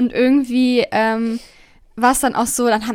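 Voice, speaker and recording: In a very clean recording with a silent background, a woman with a normal speaking voice talks at a fairly quick pace in a fairly high pitch. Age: 20s. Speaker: podcast co-host. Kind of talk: casual chat. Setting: home studio with headphones.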